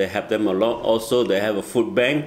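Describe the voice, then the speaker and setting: Over noticeable background noise, a man with a Chinese accent speaks at a medium pitch. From Malaysia. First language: Mandarin Chinese. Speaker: asylum seeker and volunteer. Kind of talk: interview.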